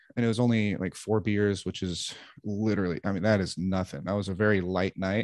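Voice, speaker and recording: A man with an American accent has a plain, everyday voice and fairly even intonation. He talks at a moderate pace against a quiet background. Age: 30s. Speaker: stand-up comedian. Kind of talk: casual interview conversation.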